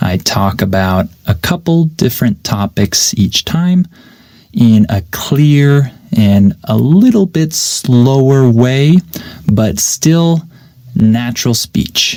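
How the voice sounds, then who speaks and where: A man at a medium pitch speaks very slowly in a dark, mellow tone. His pitch swings very widely while his loudness stays very even. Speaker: English teacher podcaster. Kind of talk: unscripted podcast monologue. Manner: clear.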